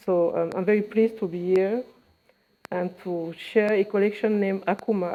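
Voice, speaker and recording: Speech in a French accent at a moderate pace. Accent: French-speaker accent in English. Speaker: fashion accessories designer. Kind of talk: press conference speech. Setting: press conference. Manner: hesitant, many fillers.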